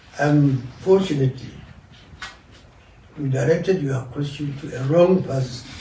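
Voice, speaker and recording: A man with a northern Nigerian accent and fairly high pitch, ordinary pitch variation, a fairly slow pace, long and frequent pauses, and noticeable background noise. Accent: northern Nigerian (Hausa) English. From northern Nigeria, Kano. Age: 80s+. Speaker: elder statesman, veteran politician. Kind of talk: interview.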